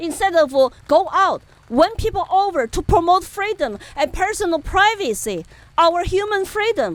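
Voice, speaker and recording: A woman's extremely high, animated voice with a Chinese accent, lively intonation and a moderate pace. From China, Chengdu, Sichuan. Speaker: political activist. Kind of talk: interview. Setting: outdoor event.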